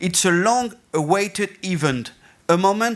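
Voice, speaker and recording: A man talks at a fairly slow pace in a high pitch, with ordinary pitch variation. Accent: French. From France. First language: French. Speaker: festival and theatre director. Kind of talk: conference presentation. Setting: stage with audience. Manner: halting.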